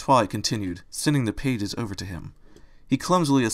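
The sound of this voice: Intonation stays lively in this unforced reading voice.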